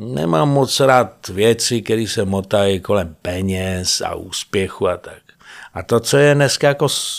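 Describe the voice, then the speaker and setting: In a very clean recording with a silent background, the words arrive at a very slow pace. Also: man. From Prague. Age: 50s. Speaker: actor. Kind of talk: casual chat. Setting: studio.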